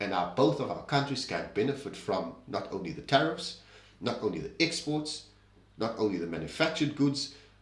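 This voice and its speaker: A man at medium pitch and moderate pace, with very wide pitch swings and audible room echo. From South Africa. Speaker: political commentary host. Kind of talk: opinion commentary monologue.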